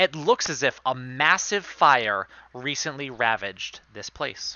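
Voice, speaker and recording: A man with a Rhode Island accent at medium pitch and a fairly slow pace, with lively intonation and big swings in loudness. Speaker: game master. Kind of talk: tabletop role-play narration; reading aloud. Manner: hesitant, many fillers.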